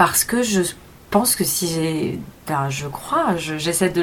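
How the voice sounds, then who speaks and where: A woman speaks at a fairly low pitch over noticeable background noise. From Paris suburbs, France (Montreuil). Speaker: film director. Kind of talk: interview. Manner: halting.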